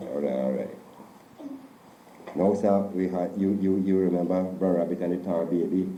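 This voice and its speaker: A man with a very deep, low pitch talks at a moderate pace, his intonation fairly even. Long pauses come often. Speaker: storyteller. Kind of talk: folktale telling in interview.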